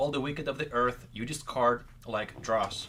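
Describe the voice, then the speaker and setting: Speaking at a moderate pace, a man with an unremarkable speaking voice keeps a medium pitch and fairly even intonation. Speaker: co-host reading scripture. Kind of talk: reading aloud.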